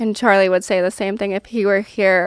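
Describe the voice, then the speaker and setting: This is a woman with an American accent and a normal speaking voice. Her pitch is medium and her intonation fairly even. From upstate New York. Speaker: accounting firm partner. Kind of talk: interview. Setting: studio.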